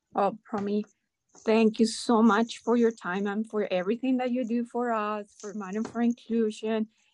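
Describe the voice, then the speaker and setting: A woman with a Spanish accent and a fairly high pitch speaks in monotone, flat intonation, with a dry, close sound with no echo. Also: moderate pace. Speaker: podcast host and nonprofit founder. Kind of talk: interview, conversational.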